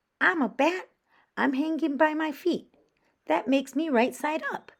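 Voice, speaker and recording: A loud, put-on character voice at a high pitch. It moves at a moderate pace. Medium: read story.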